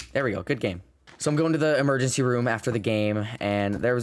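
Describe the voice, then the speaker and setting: Speaking very fast, a man shows ordinary pitch variation. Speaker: gaming YouTuber. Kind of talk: gameplay commentary. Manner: halting, stutters and repeats words; casual, swears.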